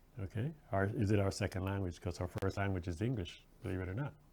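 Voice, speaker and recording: A man speaks at a fairly low pitch in a Jamaican accent. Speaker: guest radio host. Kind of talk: radio talk show monologue. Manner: animated.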